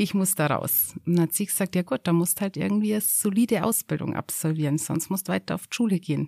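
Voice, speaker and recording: In a very clean recording with a silent background, a woman with a dark, mellow tone and medium pitch speaks very fast, with ordinary pitch variation and hardly any pauses. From Upper Bavaria, Garmisch-Partenkirchen district. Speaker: mountain hut operator. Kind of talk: casual chat. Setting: mountain hut.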